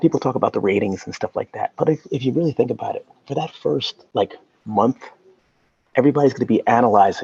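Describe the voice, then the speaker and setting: The sound is dry and close, with no echo. A man talks at a very fast pace. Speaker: YouTube show host, celebrity's brother. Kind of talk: interview. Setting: video call from a library. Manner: halting, many fillers; soft-spoken.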